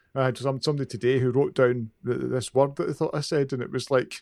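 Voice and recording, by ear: This man has a Glaswegian accent and a medium pitch. His tone is slightly mellow. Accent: Glaswegian Scottish.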